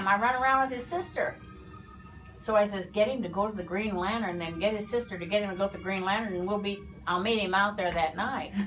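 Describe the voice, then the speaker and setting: Over music in the background, the speaker talks at a very fast pace with ordinary pitch variation. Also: woman, medium pitch for a woman. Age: 80s+. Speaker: former beautician. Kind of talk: interview answer.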